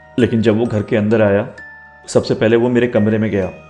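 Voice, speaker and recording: A man's medium-pitched voice in a monotone, flat intonation, with music in the background. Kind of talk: horror story narration.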